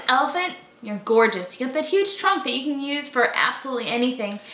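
A woman's raised, projected voice, high in pitch, in an American accent, at a fairly quick pace, with audible room echo. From Boston, Massachusetts. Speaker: vlogger. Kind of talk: casual talk to camera. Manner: upbeat. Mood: playful, laughing. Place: home room. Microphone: camera far.

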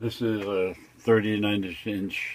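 A man with an American accent over light background noise. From New York City. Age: 80s+. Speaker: retired hobby woodworker. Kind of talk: interview answer. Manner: casual, hesitant. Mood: relaxed, reminiscing. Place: workshop.

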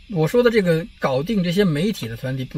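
This is an ordinary speaking voice from a man, fairly high in pitch, with lively intonation. He speaks at a moderate pace, and the sound is dry with no echo. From China. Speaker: political commentary vlogger. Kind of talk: casual monologue vlog. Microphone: phone near.

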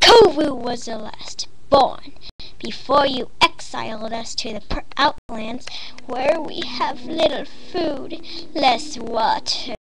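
A cartoonish character voice moves at a fairly slow pace. Loud background noise sits behind it. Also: woman, high pitch for a woman. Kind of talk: fandub voice acting. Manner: sneering, menacing, mock sweet.

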